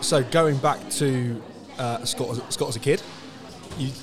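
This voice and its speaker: Noticeable background noise and audible room echo surround a man's voice. His pitch is fairly high, and his intonation stays fairly even. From England. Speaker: sports podcast host. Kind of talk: casual interview. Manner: halting, many repetitions.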